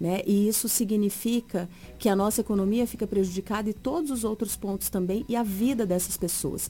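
Medium-pitched with ordinary pitch variation, a woman with an unremarkable speaking voice talks at a moderate pace. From Mato Grosso, Brazil. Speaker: politician, teacher. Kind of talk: political interview.

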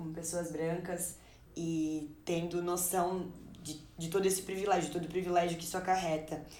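Audible room echo surrounds a woman speaking at a moderate pace with a fairly low pitch and fairly even intonation. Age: 20s. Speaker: Portuguese teacher and editor. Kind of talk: casual discussion.

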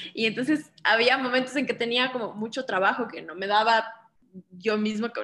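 A woman speaks in a Quito Ecuadorian accent. Her pitch is fairly high. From Ecuador, Quito. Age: 30s. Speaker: interior designer and home cook. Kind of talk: casual chat.

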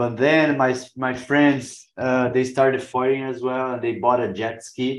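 A man with a Brazilian accent talks at a fairly slow pace with hardly any pauses, his medium-pitched voice monotone and flat in intonation. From Brazil, Santos. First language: Portuguese. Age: 40s. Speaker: pro wing foil rider. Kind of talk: casual interview. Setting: video call. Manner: halting.

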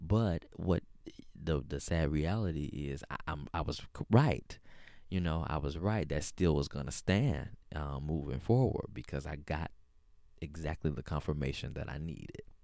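A man's very deep, low voice with vocal fry, a dark, mellow tone, ordinary pitch variation and an American accent. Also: moderate pace. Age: 30s. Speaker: podcast host. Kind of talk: casual monologue. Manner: frequent fillers and hesitations.

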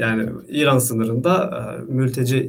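Pitch varies in an ordinary way here. There is a somewhat breathy quality to the voice. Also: man. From Istanbul, Turkey. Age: 20s. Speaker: vegan content creator, former conscript. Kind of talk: casual interview.

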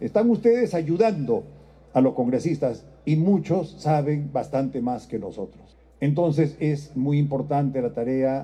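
At a fairly slow pace, a man speaks in a dark, mellow, somewhat breathy voice. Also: fairly high pitch for a man, lively intonation. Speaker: president of parliament. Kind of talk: formal speech.

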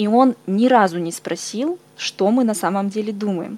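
The woman's intonation is lively. Her tone is dark and mellow. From Siberia, Irkutsk. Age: 20s. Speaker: podcast host. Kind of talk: interview.

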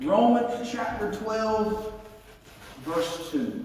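Noticeable background noise surrounds a speaker with an American accent. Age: 30s. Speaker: pastor. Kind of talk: sermon, preacher leading a congregation in prayer and call-and-response. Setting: church with live congregation and band. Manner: animated, building from conversational asides to excited, jumpy delivery; loud, rhetorical, repeating phrases with exhortations like say amen.

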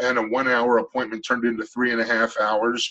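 Speaking at a fairly quick pace, a man with a medium pitch has a bright, sharp tone. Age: 50s. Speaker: shamanic healer. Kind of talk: interview.

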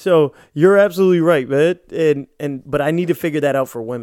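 A man speaks in a normal speaking voice, fairly high in pitch, with ordinary pitch variation. The recording is very clean with a silent background and a dry, close sound without echo. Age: 30s. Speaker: podcast co-host. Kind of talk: casual chat.

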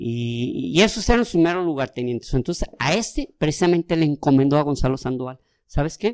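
A man with a Mexican accent, his voice fairly high, his intonation lively, his pace fairly quick. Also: dry, close sound with no echo. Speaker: history podcast co-host. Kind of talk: casual storytelling. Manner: halting, many repetitions.

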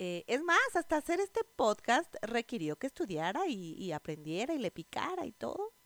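A woman with a Mexico City accent speaks at a moderate pace in an animated tone, her high pitch swinging very widely. Noticeable background noise runs underneath. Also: hardly any pauses. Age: 30s. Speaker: podcast host, network marketer. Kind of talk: casual monologue.

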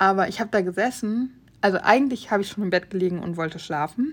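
Speaking at a very fast pace, a woman keeps a medium pitch with ordinary pitch variation. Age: 30s. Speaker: podcast host. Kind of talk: casual monologue.

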